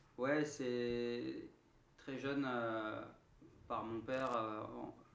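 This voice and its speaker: Through audible room echo, a man at medium pitch speaks at a very slow pace in a monotone, flat intonation. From southern France, Marseille. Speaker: singer-songwriter. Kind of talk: radio interview. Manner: halting, many hesitations.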